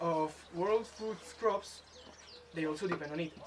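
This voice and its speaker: With noticeable background noise, a man speaks at a moderate pace in a Spanish accent. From Spain, Madrid. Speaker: environmental education intern. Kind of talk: presentation. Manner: halting, many fillers.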